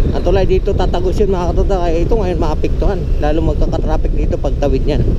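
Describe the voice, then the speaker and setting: Amid audible room echo and noticeable background noise, a man talks at a very fast pace with very even loudness. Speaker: vlogger. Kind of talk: vlog narration while riding. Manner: speaking louder than usual; hesitant, many fillers. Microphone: no external mic, viewers said too quiet.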